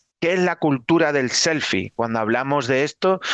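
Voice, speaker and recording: A man with a slight Extremaduran accent at a fairly slow pace, ordinary pitch variation, a dry, close sound with no echo and a quiet background. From Extremadura, Spain (Badajoz). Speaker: Jesuit priest, lecturer. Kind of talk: lecture.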